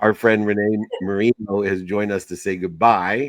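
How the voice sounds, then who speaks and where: This man has a normal speaking voice with a fairly low pitch. He talks at a moderate pace, the sound dry and close with no echo. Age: 50s. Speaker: podcast host. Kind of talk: casual chat.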